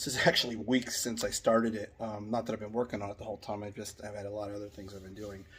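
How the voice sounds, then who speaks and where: A man's intonation stays fairly even as he speaks very fast. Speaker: DIY channel host. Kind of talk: casual DIY vlog.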